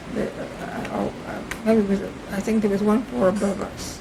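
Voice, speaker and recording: With noticeable background noise and audible room echo, a woman speaks at medium pitch. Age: 90s. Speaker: interviewee, family elder. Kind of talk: oral history interview. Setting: at home, videotaped. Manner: halting.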